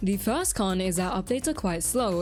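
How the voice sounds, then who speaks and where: A woman with an Australian accent over music in the background. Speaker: gaming YouTuber. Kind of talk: scripted narration.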